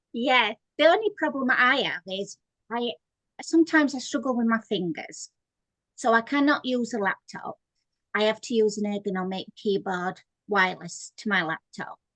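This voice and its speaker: Fairly high-pitched woman with lively intonation at a moderate pace, in a dry, close sound with no echo. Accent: Yorkshire. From Yorkshire, northern England. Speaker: author. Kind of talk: interview.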